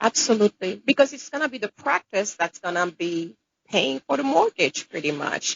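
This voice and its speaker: The voice has a Caribbean accent. Its pitch swings very widely. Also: woman, medium pitch for a woman, moderate pace, big swings in loudness. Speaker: dentist. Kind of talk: interview.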